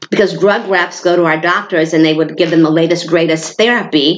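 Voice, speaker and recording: Against noticeable background noise, a woman with an American accent speaks at a fairly low pitch with fairly even intonation. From New York State. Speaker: hormone therapy business owner. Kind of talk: informal presentation to a group. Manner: fast.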